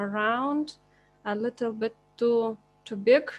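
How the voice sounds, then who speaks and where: With music playing behind her, a woman speaks very slowly in a non-native accent, her fairly high pitch held in fairly even intonation. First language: not English. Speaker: teacher. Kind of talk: tutorial. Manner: halting.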